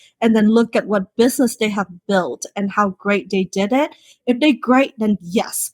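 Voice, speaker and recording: A woman with a non-native accent speaks at a fairly slow pace and a fairly high pitch. Her pitch varies in an ordinary way, and the recording is very clean with a silent background. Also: dry, close sound with no echo. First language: not English. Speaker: beauty business founder. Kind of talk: podcast interview. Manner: halting, frequent fillers.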